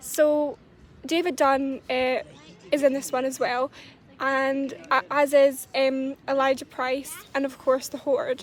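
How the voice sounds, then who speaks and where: Someone speaks at a very slow pace with fairly even intonation. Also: woman, high pitch for a woman. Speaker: movie reviewer. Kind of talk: casual talk to camera. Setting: outdoors. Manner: quiet, soft-spoken.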